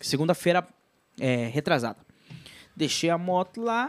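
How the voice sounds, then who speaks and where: A man's voice moves through very wide pitch swings. The recording is very clean with a silent background, dry and close with no echo. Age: 30s. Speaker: podcast host. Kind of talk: casual chat.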